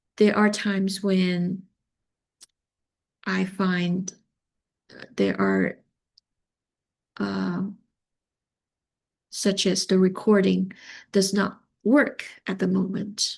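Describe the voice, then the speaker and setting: A woman with a Chinese accent speaks at a very slow pace, taking long, frequent pauses against a quiet background. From China. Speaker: teacher of multilingual learners. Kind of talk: conference presentation.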